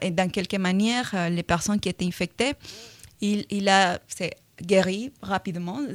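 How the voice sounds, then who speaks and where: A woman with a Latin American accent speaks at a very slow pace and medium pitch, with ordinary pitch variation. The recording is very clean, with a silent background and a dry, close sound with no echo. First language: Spanish (speaking French). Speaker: virology researcher. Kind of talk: radio interview. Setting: radio studio. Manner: hesitant, many fillers.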